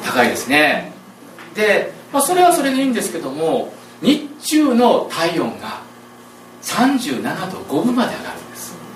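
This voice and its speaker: With audible room echo and noticeable background noise, a man speaks at an extremely high pitch and a fairly slow pace, with very wide pitch swings, big swings in loudness and long, frequent pauses. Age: 40s. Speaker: pastor. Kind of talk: sermon. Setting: church.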